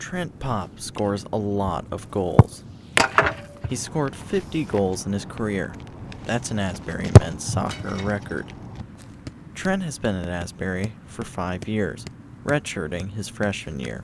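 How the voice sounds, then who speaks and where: Over noticeable background noise, a man speaks slowly-paced at a fairly slow rate with lively intonation. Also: fairly low pitch for a man. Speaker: student news and sports anchor. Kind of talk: news package voiceover.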